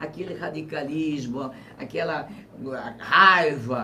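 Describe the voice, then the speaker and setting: Very slowly, a man talks amid audible room echo and noticeable background noise. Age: 70s. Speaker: former governor and politician. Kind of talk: interview on live web TV.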